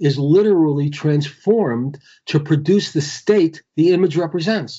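A man speaks with a somewhat breathy voice at a fairly high pitch. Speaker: Kabbalah teacher. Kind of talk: interview on spirituality. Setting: Skype call. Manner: halting, repeats words. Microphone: patchy connection.

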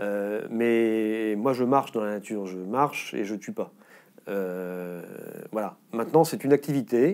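A man with a fairly low pitch speaks fairly slowly, with ordinary pitch variation and big swings in loudness, over a quiet background. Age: 50s. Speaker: politician and former veterinarian; politician. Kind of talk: interview. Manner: halting, frequent repetitions and hesitations. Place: studio. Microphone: lapel.

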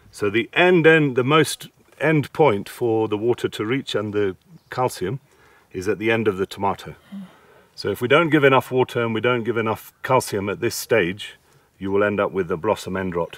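A man's voice at a moderate pace, lively intonation, a quiet background and a dry sound with no echo. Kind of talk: advice explanation to farmer. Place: farm machine.

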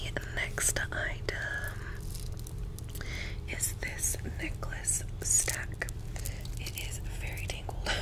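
Over loud background noise, a woman speaks at a very slow pace with long, frequent pauses. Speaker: ASMR creator. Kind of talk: ASMR shopping haul. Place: home room. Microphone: studio mic.

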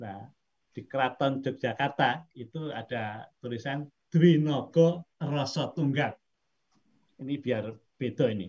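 Somewhat breathy and very slow, the voice has ordinary pitch variation and big swings in loudness against a quiet background. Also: man. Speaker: professor. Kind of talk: lecture. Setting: video call. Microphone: video call.

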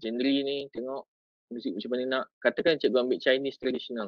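A fairly quick delivery, dry with no echo, over a quiet background. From Malaysia. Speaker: teacher and education officer; teacher or trainer. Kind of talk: tutorial. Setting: video call. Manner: casual, code-switching. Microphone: video call.

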